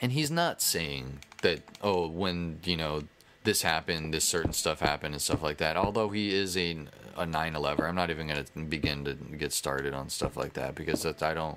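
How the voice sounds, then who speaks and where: A man speaks at a fairly quick pace. His very deep, low voice keeps a fairly even intonation. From United States. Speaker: gaming YouTuber. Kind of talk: casual gameplay commentary. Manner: rambling, halting with false starts.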